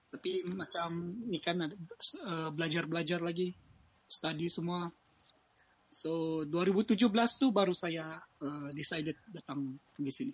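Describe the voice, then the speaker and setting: Pitched high with ordinary variation, a man speaks at a very slow pace. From Sabah, Malaysia (Ranau). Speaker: Malaysian living abroad. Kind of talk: casual interview. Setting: live audio stream.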